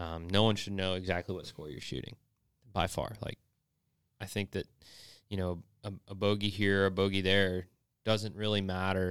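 A man speaks at a very deep, low pitch with fairly even intonation, big swings in loudness and long, frequent pauses. The recording is very clean and dry, close, with no echo and a silent background. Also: moderate pace. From North Georgia. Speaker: golf instructor. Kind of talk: casual chat.

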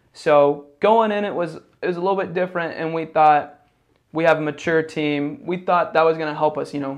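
Against a quiet background, a man with an unremarkable speaking voice talks at a moderate pace, fairly high in pitch with fairly even intonation. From US Midwest (Indiana, Ohio). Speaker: basketball coach. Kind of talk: interview.

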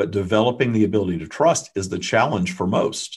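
Against a quiet background, a man talks at a fairly quick pace. His voice is fairly low and somewhat breathy. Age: 50s. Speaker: spiritual channeler and author. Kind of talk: interview.

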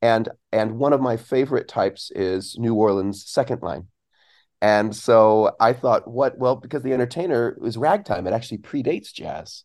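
A man with an American accent speaks in a normal speaking voice at a medium pitch and a moderate pace. His pitch varies in an ordinary way, and the background is quiet. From Southern California, then Belgium from age 12. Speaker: saxophonist and composer, music professor. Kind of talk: casual interview chat.

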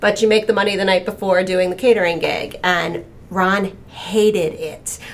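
With noticeable background noise, a woman talks at a moderate pace and a medium pitch, her intonation fairly even. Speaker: talent agent, former actor and dancer.

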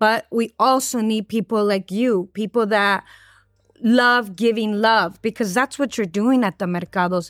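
In a warm, enthusiastic tone, a woman with an American accent speaks at a fairly slow pace and a fairly high pitch, keeping her loudness very even. The sound is dry and close with no echo, and the recording is very clean with a silent background. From East Los Angeles. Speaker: podcast host. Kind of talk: casual interview.

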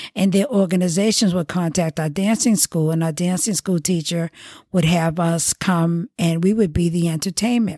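Dark, mellow tone with an American accent, ordinary pitch variation, a moderate pace, and a dry, close sound with no echo. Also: woman, fairly low pitch for a woman. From Boston, Massachusetts. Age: 70s. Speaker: oral history narrator, journalist. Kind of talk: oral history interview.

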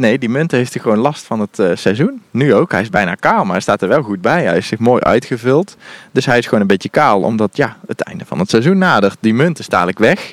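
A man talks fairly quickly at a medium pitch, with hardly any pauses. His pitch swings very widely, and the sound is dry and close with no echo. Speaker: gardening podcast co-host. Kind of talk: casual chat during a garden tour. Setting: outdoors in an allotment garden.

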